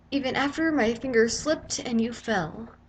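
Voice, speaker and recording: A high-pitched woman with ordinary pitch variation, noticeable background noise behind her. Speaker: spoken word poet. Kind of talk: slam poetry reading.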